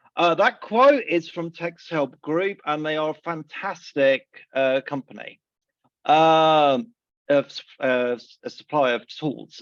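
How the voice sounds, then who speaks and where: The sound is dry and close with no echo as a man with a fairly high pitch speaks at a very slow pace. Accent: southern English. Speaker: assistive technology trainer. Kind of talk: presentation.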